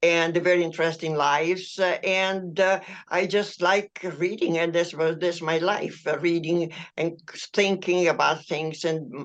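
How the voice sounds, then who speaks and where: Speaking in an Italian accent, a woman holds a monotone, flat intonation at a fairly low pitch. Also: quiet background. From Italy. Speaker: author. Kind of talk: interview. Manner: halting.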